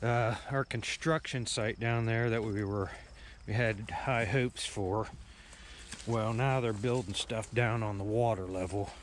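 A man talks at a fairly slow pace with fairly even intonation, the sound dry with no echo and light background noise underneath. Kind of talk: casual vlog chat. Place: waterside. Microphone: phone near.

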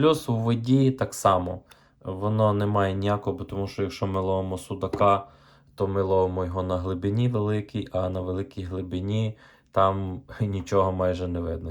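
With fairly even intonation and a moderate pace, a man speaks in a very deep, low pitch on a very clean recording with a silent background. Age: 30s. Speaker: fishing vlogger. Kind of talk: tutorial. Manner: casual, halting.

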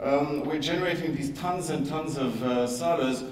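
Over audible room echo, a man speaks at a moderate pace with a fairly high pitch, a slightly mellow tone and ordinary pitch variation.

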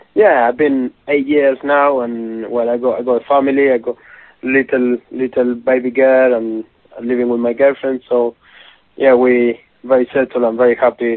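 The voice has a Spanish accent and a moderate pace. Its intonation is monotone and flat. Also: man, medium pitch for a man. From Argentina. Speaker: professional footballer. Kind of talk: interview. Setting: phone call. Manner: halting.

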